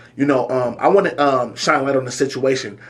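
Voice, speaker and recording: Noticeable background noise sits behind a man at medium pitch. He talks at a fairly quick pace with fairly even intonation. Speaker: talk show host. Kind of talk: casual interview talk.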